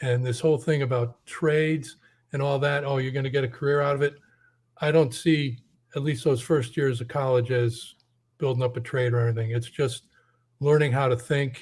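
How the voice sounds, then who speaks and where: In an American accent, a man talks at a moderate pace and a medium pitch. He sounds somewhat breathy, with monotone, flat intonation. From Connecticut, US Northeast. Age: 60s. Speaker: caller, former college teacher. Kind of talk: call-in conversation.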